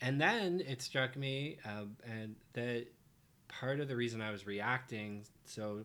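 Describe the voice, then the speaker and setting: A man speaks at a medium pitch in a normal speaking voice. The recording is very clean, with a silent background. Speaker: dad co-host.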